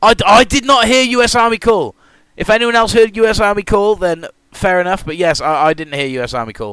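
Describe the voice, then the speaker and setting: A man with a British accent speaks at a fairly quick pace in a high pitch, his tone bright and sharp and his intonation lively. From Britain. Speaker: gaming streamer and race host. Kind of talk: live stream commentary with viewers. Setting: live stream. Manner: animated. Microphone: new mic setup.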